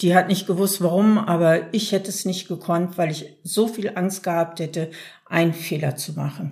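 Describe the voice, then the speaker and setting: At a moderate pace, a woman speaks in a somewhat breathy, fairly low voice with fairly even intonation. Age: 60s. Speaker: self-help group member. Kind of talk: interview.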